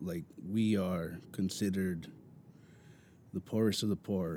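In an American accent, a man speaks at a fairly slow pace with a very deep, low pitch and a dark, mellow tone. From Mountain View, California. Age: 20s. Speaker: podcast guest, kitchen worker. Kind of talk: casual chat. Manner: halting.

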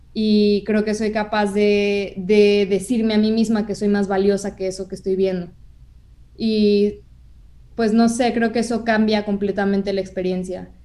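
Speaking at a fairly slow pace, a woman with a medium pitch and a dark, mellow tone keeps a monotone, flat intonation. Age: 20s. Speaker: communication and audiovisual arts student. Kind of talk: casual interview conversation.

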